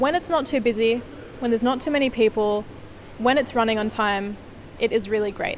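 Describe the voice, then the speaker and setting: A woman with an Australian accent talks at a fairly quick pace in a fairly high pitch, with ordinary pitch variation, long and frequent pauses, and noticeable background noise. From Sydney, Australia. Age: 20s. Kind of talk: casual talk to camera.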